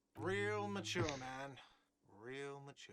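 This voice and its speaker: A whiny, shouting put-on character voice with audible echo. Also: man, medium pitch for a man. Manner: shouting, sarcastic.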